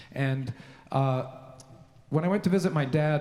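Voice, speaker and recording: This man has a Canadian accent and a fairly high pitch. His voice is somewhat breathy, with ordinary pitch variation. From Canada (Victoria, British Columbia). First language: Slovenian. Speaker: composer. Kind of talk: speech to a concert audience. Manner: halting, many fillers.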